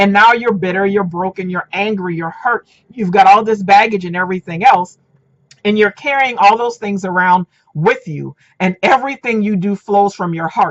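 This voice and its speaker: The woman's tone is animated. She speaks at medium pitch with ordinary pitch variation. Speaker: dating and relationship coach. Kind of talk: casual vlog monologue. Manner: fast.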